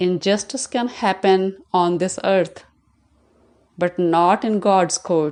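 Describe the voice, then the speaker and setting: A woman talks at a very slow pace with medium pitch and ordinary pitch variation. Her loudness is very even, and the background is quiet. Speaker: religious vlogger. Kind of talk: moral monologue.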